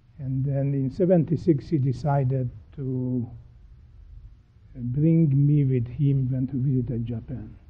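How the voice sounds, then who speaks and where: A man with a Hungarian accent talks at a fairly slow pace with long, frequent pauses, using fairly even intonation at a medium pitch. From Transylvania, Romania (Hungarian). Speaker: pharmaceutical scientist, professor. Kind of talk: interview. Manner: halting, with fillers.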